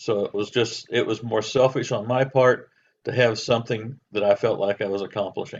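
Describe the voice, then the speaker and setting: A man with an American accent at medium pitch, moderate in pace, with monotone, flat intonation. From southern Indiana (New Albany, near Louisville). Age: 70s. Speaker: retired accountant, nonprofit volunteer. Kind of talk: interview.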